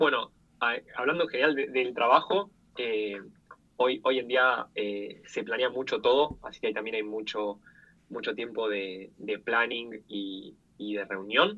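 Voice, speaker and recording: A man's unremarkable speaking voice, medium in pitch, with ordinary pitch variation and a fairly slow pace. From Argentina. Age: 20s. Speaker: product designer and UX/UI teacher. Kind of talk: interview.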